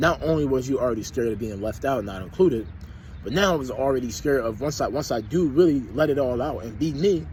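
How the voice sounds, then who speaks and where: A man's medium-pitched, animated voice at a very fast pace with lively intonation, amid noticeable background noise and audible room echo. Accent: American. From US, Philadelphia. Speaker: vlogger. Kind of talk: personal reflection monologue.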